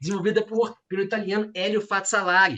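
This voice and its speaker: This is a man speaking with a Minas Gerais accent. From Minas Gerais, Brazil. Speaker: law professor, thesis examiner. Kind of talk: academic thesis examination. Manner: hesitant, many fillers.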